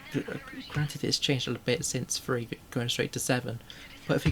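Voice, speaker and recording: This quiet voice comes through over noticeable background noise. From northern England. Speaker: vtuber streamer. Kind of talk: casual gaming livestream chat.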